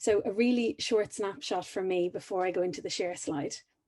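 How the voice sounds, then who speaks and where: This woman speaks with an Irish accent at medium pitch. Her tone is dark and mellow. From Ireland. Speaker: high performance coach. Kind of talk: conference talk.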